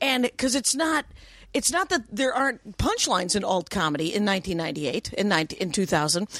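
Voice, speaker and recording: A woman with an American accent, very wide pitch swings and very even loudness. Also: medium pitch for a woman. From Wisconsin, US. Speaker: stand-up comedian. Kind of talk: casual chat.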